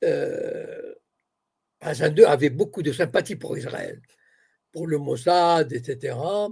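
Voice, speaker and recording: Slowly, at a very slow pace, a man speaks with long, frequent pauses and big swings in loudness. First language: Arabic (speaking French). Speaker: political commentator. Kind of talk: interview.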